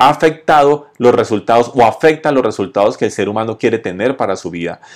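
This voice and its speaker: Lively intonation from a man in a normal speaking voice, medium-pitched, at a moderate pace. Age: 40s. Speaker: podcast host on entrepreneurship and sales. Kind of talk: motivational monologue with storytelling. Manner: conversational.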